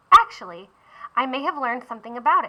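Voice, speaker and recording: A woman in a put-on character voice, high in pitch, at a very fast pace. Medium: read story. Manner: wondering, softly questioning.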